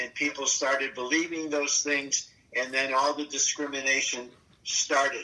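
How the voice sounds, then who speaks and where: A fairly high-pitched man at a moderate pace, monotone and flat in intonation, over noticeable background noise. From Germany. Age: 80s+. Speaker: Holocaust survivor. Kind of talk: oral history interview. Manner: halting.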